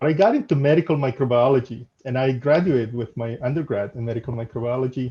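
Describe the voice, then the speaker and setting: A man with a Spanish accent speaks at a fairly quick pace, his medium-pitched voice somewhat breathy with a dark, mellow tone. His pitch rises and falls in an ordinary way. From El Salvador. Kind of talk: casual interview.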